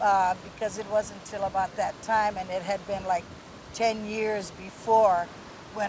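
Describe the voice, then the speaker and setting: A woman in a Hawaiian accent speaks at a medium pitch with monotone, flat intonation over noticeable background noise. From Hawaii, Kauai. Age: 60s. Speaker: Hawaiian rights activist. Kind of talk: interview. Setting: outdoors.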